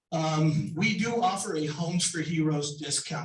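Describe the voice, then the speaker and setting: A man speaks fairly slowly at a fairly high pitch with ordinary pitch variation. Audible room echo surrounds his voice. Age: 60s. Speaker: home inspector and contractor. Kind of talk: sponsor presentation.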